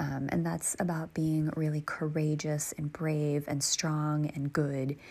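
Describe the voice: The voice moves little in pitch, speaks at a fairly slow pace, and has a dark, mellow tone. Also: woman, low pitch for a woman.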